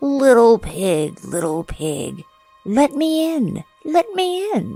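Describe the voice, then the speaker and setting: Someone performs a put-on character voice at a fairly high pitch. The pace is very slow, with faint music in the background. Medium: read story. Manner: menacing.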